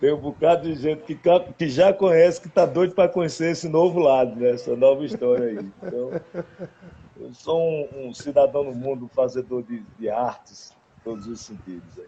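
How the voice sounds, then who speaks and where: Lively intonation from a man at a fairly high pitch, moderate pace, with big swings in loudness. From Caruaru, Pernambuco, Brazil. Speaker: singer-songwriter. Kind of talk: casual interview chat.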